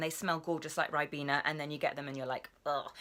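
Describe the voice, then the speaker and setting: A woman with a British accent speaks in an upbeat, bright and sharp tone on a very clean recording with a silent background. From England. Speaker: voice actor. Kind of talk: casual vlog talk to camera. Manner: chatty, upbeat.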